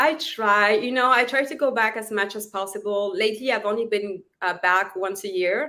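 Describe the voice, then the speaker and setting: The voice carries a French accent and a bright, sharp tone. It moves at a moderate pace with ordinary pitch variation and hardly any pauses. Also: woman, fairly high pitch for a woman. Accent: French accent, noticeable. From southern France. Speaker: actress and author. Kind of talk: interview chat.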